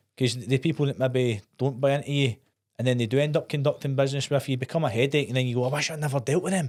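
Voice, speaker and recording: Speaking at a very fast pace in a Scottish accent, a man with a medium pitch keeps his intonation fairly even. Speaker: podcast host. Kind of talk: podcast interview.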